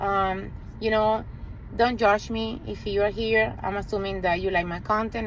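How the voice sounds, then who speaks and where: A woman talks in a medium pitch, her voice carrying audible room echo. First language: Spanish. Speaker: realtor and HVAC business owner. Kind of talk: direct-to-camera sales pitch. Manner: earnest, conversational with hesitations.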